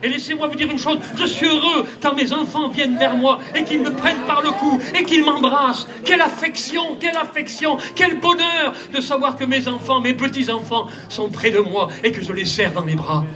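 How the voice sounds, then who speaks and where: A man's raised, projected voice at an extremely high pitch, ordinary pitch variation, moderate pace and hardly any pauses, with audible room echo and noticeable background noise. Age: 70s. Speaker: pastor. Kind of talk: sermon. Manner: animated.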